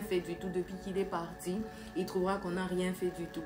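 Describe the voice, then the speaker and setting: A woman speaks in a monotone, flat intonation at medium pitch. The audio carries audible room echo and noticeable background noise. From DR Congo. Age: 20s. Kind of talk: testimony. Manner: halting, many fillers.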